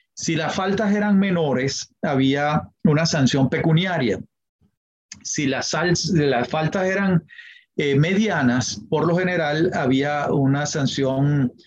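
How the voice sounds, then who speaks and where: Somewhat breathy and fairly high in pitch, a man talks at a very slow pace with ordinary pitch variation. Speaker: history professor and lawyer. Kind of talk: interview. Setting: podcast interview.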